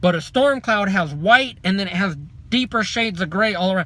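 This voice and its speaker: A man talks at a fairly quick pace in a raised, projected voice, high-pitched for a man, with ordinary pitch variation and a bright, sharp tone on a very clean recording with a silent background. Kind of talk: testimony. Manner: loud; fast.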